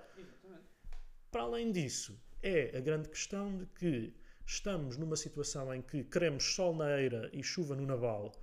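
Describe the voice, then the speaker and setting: A man's fairly high voice at a moderate pace, with lively intonation and audible room echo. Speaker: political podcaster. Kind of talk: casual political discussion. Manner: halting, many repetitions.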